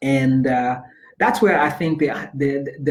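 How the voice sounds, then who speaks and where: Over noticeable background noise, a man speaks in a monotone with flat intonation and a fairly high pitch. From Zambia, Lusaka. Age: 30s. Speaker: life coach and speaker. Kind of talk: interview. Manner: repetitive, halting with many fillers.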